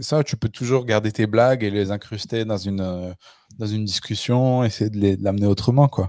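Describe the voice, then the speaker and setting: A man in a plain, everyday voice talks at a moderate pace and a fairly low pitch with fairly even intonation, in a dry, close sound with no echo. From France, Le Puy-en-Velay (Haute-Loire). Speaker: podcast host and stand-up comedian. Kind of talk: casual chat.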